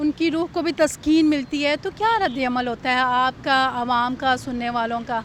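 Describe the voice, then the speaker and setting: Background noise is noticeable here. Through it, a woman's voice comes across. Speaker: interviewer. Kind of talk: interview questions.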